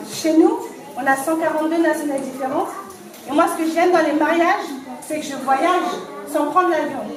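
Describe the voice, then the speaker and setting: Amid noticeable background noise and audible room echo, a woman speaks fairly quickly at an extremely high pitch with fairly even intonation and long, frequent pauses. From France, Cergy (Paris region). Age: 40s. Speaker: deputy mayor officiating a wedding. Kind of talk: wedding ceremony address. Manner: loud, projecting to room. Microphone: no microphone.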